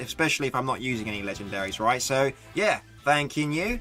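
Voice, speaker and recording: A man speaks in an English accent at a fairly quick pace. His pitch swings very widely, and there is noticeable background noise. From England. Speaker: gaming streamer. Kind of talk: live gameplay commentary. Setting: live stream.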